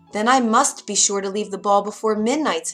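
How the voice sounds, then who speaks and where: Growling in a put-on character voice, a female-sounding speaker with medium pitch moves at a fairly quick pace over faint music in the background. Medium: read story.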